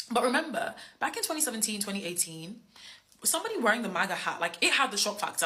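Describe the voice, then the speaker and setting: With noticeable background noise behind her, a woman with an English accent speaks at a very fast pace in an animated tone with very wide pitch swings. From England. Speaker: social media creator. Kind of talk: storytelling.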